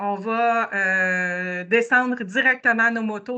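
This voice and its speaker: Speaking in a Quebec accent, a woman has a fairly high pitch and a bright, sharp tone. She talks at a very slow pace against a quiet background. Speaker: motorcycle tour organizer. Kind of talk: presentation. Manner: hesitant, many fillers.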